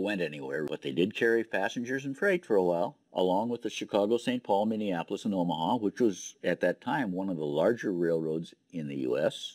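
In a very clean recording with a silent background and a dry, close sound free of echo, a man speaks at a moderate pace with lively intonation. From northern Wisconsin, US. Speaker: local historian and exhibit donor. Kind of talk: guided tour narration. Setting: interview recording. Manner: conversational.

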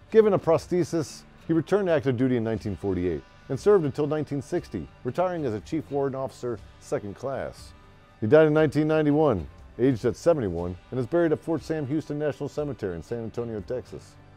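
Over faint music in the background, a man talks at a fairly quick pace with a dry sound with no echo. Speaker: history show host. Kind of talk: storytelling narration. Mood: jovial, laughing asides. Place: home room.

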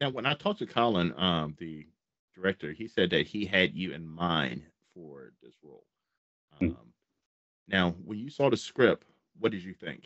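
A man with a very deep, low pitch speaks at a moderate pace with lively intonation and big swings in loudness. Long, frequent pauses break up his speech against a quiet background. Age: 40s. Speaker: horror channel interviewer; podcast host interviewer. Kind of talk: casual interview. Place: home room. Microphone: studio mic.

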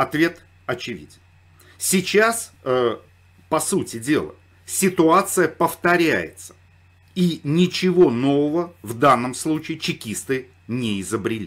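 A man at fairly high pitch, very slow, with very wide pitch swings and long, frequent pauses. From Saratov, Russia. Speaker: political commentator. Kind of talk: commentary monologue.

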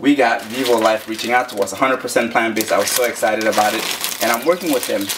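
Noticeable noise fills the background as a man delivers his words fairly quickly. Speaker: daily runner vlogger. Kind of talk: casual vlog chat. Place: kitchen.

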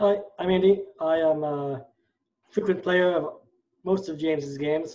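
Speaking at a fairly slow pace, a man with a fairly high pitch has a dark, mellow tone and ordinary pitch variation.

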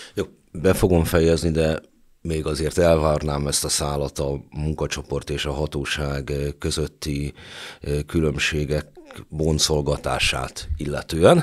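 Against a quiet background, a man speaks very slowly in a very deep, low, flat monotone. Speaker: podcast host; podcast host, moderator. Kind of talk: moderated interview discussion. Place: studio. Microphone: studio mic.

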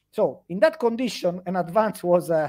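The background is quiet. A man with a high pitch speaks at a moderate pace. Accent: Italian. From Italy. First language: Italian. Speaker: history lecturer. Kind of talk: interview on history. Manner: halting, with repetitions. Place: home room. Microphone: headset.

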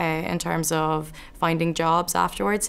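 Vocal fry marks a woman's fairly low-pitched voice. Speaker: PhD student. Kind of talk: interview testimony. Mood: calm, positive, measured. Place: classroom. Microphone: lapel.

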